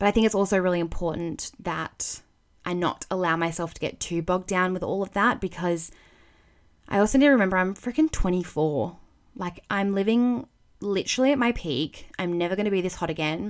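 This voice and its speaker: Speaking at a fairly quick pace, a woman has a plain, everyday voice with medium pitch and ordinary pitch variation. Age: 20s. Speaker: podcast host. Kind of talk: casual solo monologue.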